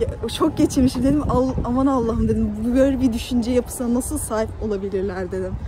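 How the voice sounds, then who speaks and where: Noticeable background noise around a woman speaking at a moderate pace, the sound dry with no echo. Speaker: university student vlogger. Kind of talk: casual vlog. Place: street. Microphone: phone near.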